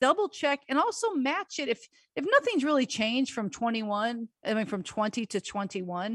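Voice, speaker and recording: The woman's voice is high in pitch, with a dry, close sound with no echo and a quiet background. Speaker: radio host and tax consultant. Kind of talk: call-in radio advice show.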